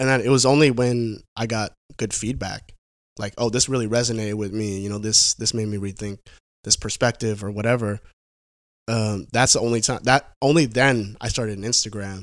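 A man with an American accent talks at a fairly quick pace in a normal speaking voice, medium in pitch and fairly even in intonation, on a very clean recording with a silent background. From Vancouver, Washington (Portland area), US Pacific Northwest. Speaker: industrial designer. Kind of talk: casual chat.

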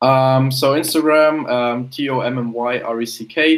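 A man with a German accent at medium pitch and fairly even intonation. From Germany. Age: young. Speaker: personal branding consultant and photographer. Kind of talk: casual interview.

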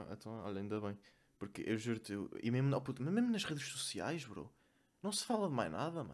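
At a fairly quick pace, a man talks with a medium pitch and very wide pitch swings. He takes long, frequent pauses. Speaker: podcast co-host. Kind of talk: casual chat.

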